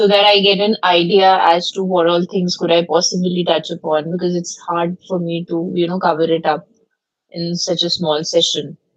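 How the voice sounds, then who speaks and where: A woman speaks with an Indian accent at a moderate pace. Her intonation is monotone and flat. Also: fairly low pitch for a woman. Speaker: law professor. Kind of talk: lecture. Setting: video call. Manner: loud.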